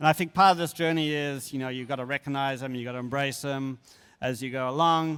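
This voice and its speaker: Very fast speech from a man with a fairly high pitch and fairly even intonation, on a very clean recording with a silent background. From Australia. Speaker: animation character supervisor. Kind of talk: conference talk with Q&A.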